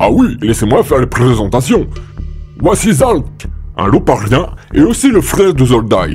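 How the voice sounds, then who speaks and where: Clear music plays in the background as someone speaks at a moderate pace in a put-on character voice. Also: man, medium pitch for a man. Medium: audio drama. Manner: formal, commanding.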